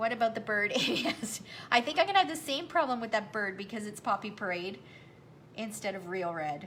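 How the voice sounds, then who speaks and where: A woman with a Canadian accent speaks quickly at a fairly high pitch, her intonation lively and her loudness swinging widely. Noticeable background noise is present. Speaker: craft demonstrator. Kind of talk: live craft tutorial. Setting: livestream.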